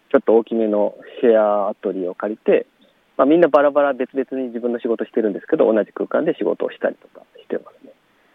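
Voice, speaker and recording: The speaker talks at a very fast pace, with big swings in loudness. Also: man. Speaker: work-creation organizer and part-time farmer. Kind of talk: interview. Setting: outdoors in a plum orchard.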